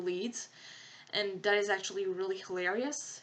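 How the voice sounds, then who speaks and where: In a slight French accent, a woman speaks with a bright, sharp tone. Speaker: podcast host. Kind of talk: casual commentary monologue. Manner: animated; hesitant fillers.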